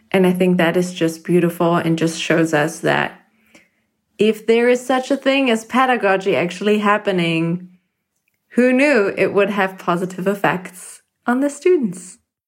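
This woman has a non-native accent and a medium pitch. She keeps a moderate pace and very even loudness. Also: lively intonation. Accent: foreign-accented English. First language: not English. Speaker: podcast listener. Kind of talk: recorded voice message. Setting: voice memo recording.

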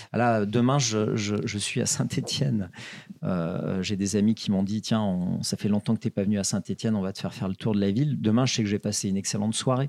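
A man's fairly low voice moves at a fairly quick pace with ordinary pitch variation. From France, Ardèche plateau. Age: 50s. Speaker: brewery founder, entrepreneur. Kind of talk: interview. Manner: halting, many repetitions.

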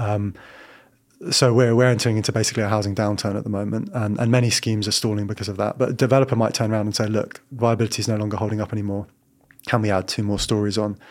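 Very fast, monotone speech with flat intonation in a London accent. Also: man, fairly low pitch for a man. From London, Battersea. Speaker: local councillor for housing. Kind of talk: interview. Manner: halting.

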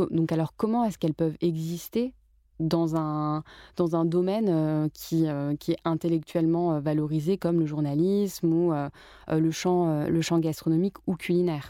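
The voice moves at a fairly slow pace with fairly even intonation and very even loudness. The recording is very clean, with a silent background. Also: woman, fairly low pitch for a woman. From France, Paris. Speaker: journalist and author. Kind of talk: casual interview. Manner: hesitant with frequent fillers.

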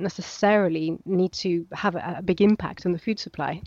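A woman at a medium pitch, moderate pace and fairly even intonation, in a dry, close sound with no echo and a quiet background. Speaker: archaeologist. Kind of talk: interview explanation. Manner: hesitant, filler-heavy, explanatory.

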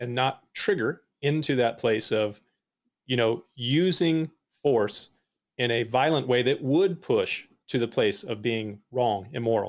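Here a man speaks in an ordinary speaking voice at medium pitch. He keeps a fairly slow pace with ordinary pitch variation. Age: 40s. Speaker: pastor. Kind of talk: casual chat.

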